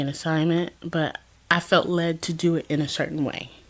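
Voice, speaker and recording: There is noticeable background noise as a woman speaks with a fairly low pitch and fairly even intonation. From US South, Georgia. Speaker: lifestyle vlogger. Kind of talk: casual personal vlog. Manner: casual, hesitant with fillers.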